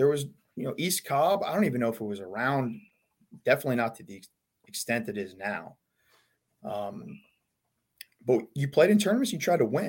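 Talking at a fairly quick pace with an American accent, a man leaves long, frequent pauses, with very wide pitch swings and big swings in loudness. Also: medium pitch for a man. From Long Island, New York. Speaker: college baseball head coach. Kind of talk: casual interview chat.

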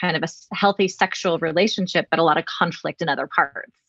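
In an ordinary speaking voice, a woman at medium pitch talks at a fairly quick pace with ordinary pitch variation, in a dry, close sound with no echo. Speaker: podcast host, mental health clinician. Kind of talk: interview.

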